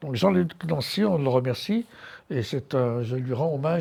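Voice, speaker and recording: On a very clean recording with a silent background, a man speaks at a moderate pace in a medium pitch with ordinary pitch variation. His voice is somewhat breathy, with a dark, mellow tone. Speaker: art curator and lecturer. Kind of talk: lecture. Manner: hesitant, many fillers.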